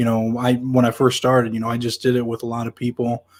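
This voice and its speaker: Talking at a very fast pace with an American accent, a man at medium pitch keeps a monotone, flat intonation on a very clean recording with a silent background. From Nebraska. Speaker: podcast host. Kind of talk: casual chat.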